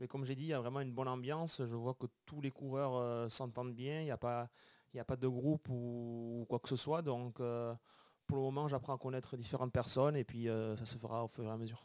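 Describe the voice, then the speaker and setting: With a Béarn accent, a man talks fairly quickly at medium pitch in a monotone, flat intonation, the sound dry and close with no echo. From Béarn, southwest France. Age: 20s. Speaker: professional cyclist. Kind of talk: interview.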